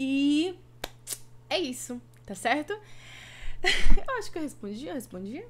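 Light background noise sits behind a woman who talks at a very slow pace. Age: 20s. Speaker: gaming streamer and youtuber; gaming streamer, youtuber. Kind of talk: casual vlog Q&A. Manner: talkative. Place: home room. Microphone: webcam.

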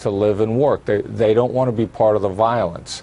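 The man talks fairly quickly, keeping his intonation fairly even. His is an unremarkable speaking voice, pitched in the medium range. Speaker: former FBI special agent and terrorism expert. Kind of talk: TV news interview answer.

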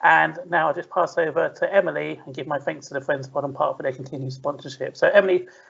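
A man speaks at a very fast pace. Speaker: event host. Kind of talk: event introduction and Q&A moderating.

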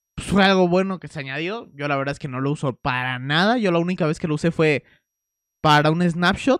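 A man with a Mexican accent talks at a moderate pace in an animated tone with ordinary pitch variation, the sound dry with no echo and the background quiet. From Mexico. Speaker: YouTuber reacting to videos. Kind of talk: casual video reaction commentary. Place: home room. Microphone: studio mic.

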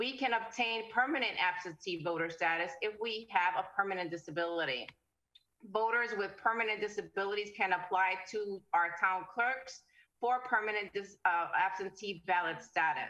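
Over a quiet background, a bright, sharp voice with an American accent moves with ordinary pitch variation. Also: woman, moderate pace. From US Northeast city. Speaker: panel moderator, council chair. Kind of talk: panel discussion. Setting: video call. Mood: earnest, advocating. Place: home room. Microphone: video call.

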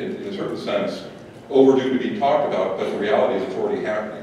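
With a slightly mellow tone and fairly even intonation, a man speaks amid audible room echo.

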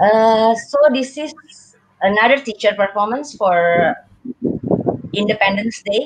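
A woman's very slow speech with an Indonesian accent and medium pitch, against noticeable background noise. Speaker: kindergarten teacher. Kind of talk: casual chat. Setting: video call. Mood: warm, enthusiastic. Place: home room. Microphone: video call.

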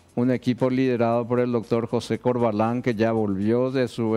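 A man speaks with faint music in the background. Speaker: surgeon, director of transplant institute. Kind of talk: TV interview. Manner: hesitant, repeats words. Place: studio. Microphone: headset.

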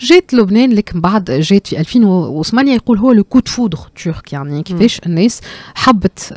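In a quiet background and a dry sound with no echo, a woman speaks at a moderate pace with lively intonation. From Tunisia. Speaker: cultural economy commentator. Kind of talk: radio discussion. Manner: halting, many fillers. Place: studio. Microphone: studio mic.

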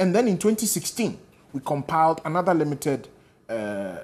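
A man with a Ghanaian accent. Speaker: political party spokesperson. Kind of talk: political panel debate. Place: studio.

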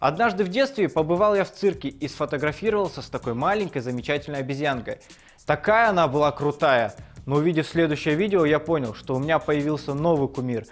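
A man talks at a moderate speed while faint music sounds behind him. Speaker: show host. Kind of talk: comedic commentary. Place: studio.

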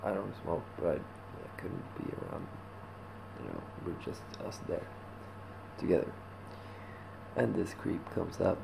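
Sounding weary, a man speaks fairly slowly with long, frequent pauses over noticeable background noise. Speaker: vlogger. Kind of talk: casual vlog chat. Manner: weary, drowsy low voice. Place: home room. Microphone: webcam.

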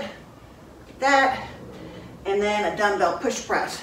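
Recorded with light background noise and audible room echo, a woman speaks. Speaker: fitness instructor. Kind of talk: exercise tutorial. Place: gym. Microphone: camera far.

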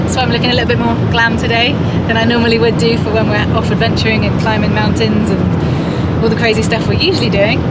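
A woman rattles off her words very fast despite loud background noise. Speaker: travel vlogger. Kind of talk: casual vlog chat. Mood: cheerful, smiling. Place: car. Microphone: phone near.

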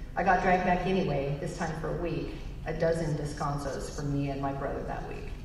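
A woman's fairly low voice with audible room echo and light background noise. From Northern California, El Dorado County. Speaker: change management consultant. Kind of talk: personal testimony speech. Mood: somber personal storytelling. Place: hall. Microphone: podium.

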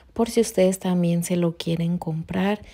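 This woman talks in a monotone, her intonation flat throughout. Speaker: beauty vlogger. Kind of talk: casual vlog chat. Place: bathroom. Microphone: phone near.

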